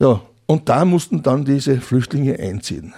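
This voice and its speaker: Set against a silent background in a very clean recording, a man's voice has a dark, mellow tone. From Austria, Upper Austria (Mühlviertel, near Freistadt). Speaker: retired museum director and local historian. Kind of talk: interview. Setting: studio.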